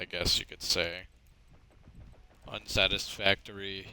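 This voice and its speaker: A man speaks softly at a very slow pace, his tone bright and sharp. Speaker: gaming streamer. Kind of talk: casual chat. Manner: soft-spoken. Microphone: too quiet.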